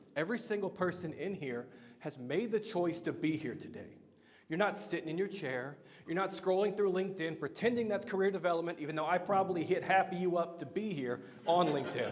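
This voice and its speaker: A loud man with an American accent and a high pitch, ordinary pitch variation and a fairly quick pace, plus audible room echo. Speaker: meetup host and marketer. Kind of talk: live event talk. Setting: stage with audience. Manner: animated.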